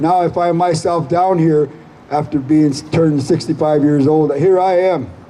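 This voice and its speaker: A man with an American accent and an unremarkable speaking voice, fairly high in pitch, fairly even in intonation, very even in loudness, at a moderate pace. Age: 60s. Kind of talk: rally speech.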